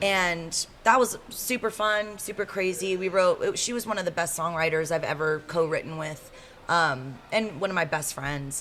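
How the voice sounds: With an American accent, a woman talks at a moderate pace with few pauses. Her fairly low-pitched voice has a fairly bright tone and ordinary pitch variation.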